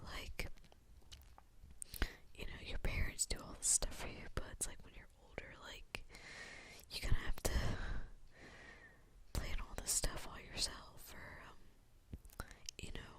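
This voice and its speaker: A whispering woman with big swings in loudness and long, frequent pauses. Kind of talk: ASMR ramble. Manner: whispered; soft-spoken, rambling.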